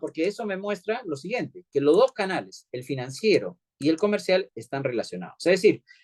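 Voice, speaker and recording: The pitch swings very widely, and the sound is dry and close with no echo. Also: man. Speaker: economist, lecturer. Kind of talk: lecture. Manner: fast; halting, many fillers.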